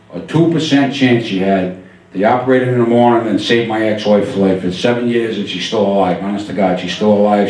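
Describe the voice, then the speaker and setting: The speaker has an American accent and talks at a fairly quick pace with ordinary pitch variation. Noticeable background noise and audible room echo come through. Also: man. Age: 60s. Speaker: stand-up comedian. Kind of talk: stand-up. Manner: animated.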